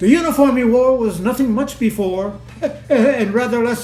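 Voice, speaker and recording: There is music behind this man's voice. His intonation is lively. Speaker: poetry reader. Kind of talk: poetry reading.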